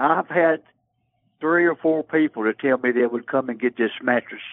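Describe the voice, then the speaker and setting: A man's fairly high, normal speaking voice, with lively intonation at a moderate pace. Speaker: person selling items through a local swap listing. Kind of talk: phone conversation with a stranger. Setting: phone call. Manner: polite, folksy.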